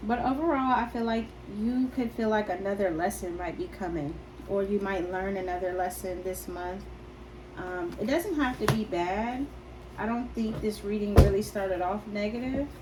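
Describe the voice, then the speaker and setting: A soft-spoken woman at a moderate pace with ordinary pitch variation, with audible room echo and noticeable background noise. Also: medium pitch for a woman. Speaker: tarot reader. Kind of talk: tarot reading. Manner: hesitant.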